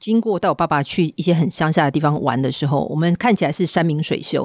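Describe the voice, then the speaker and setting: Over a silent background in a very clean recording, a woman with a fairly low pitch speaks very fast with lively intonation. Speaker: podcast host, tech company executive. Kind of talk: interview.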